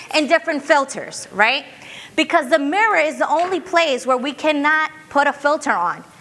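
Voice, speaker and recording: In a raised, projected voice, a woman speaks at a high pitch. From Brooklyn, New York. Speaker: diversity and inclusion speaker. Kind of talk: workshop talk. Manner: fast; conversational, checking in with audience.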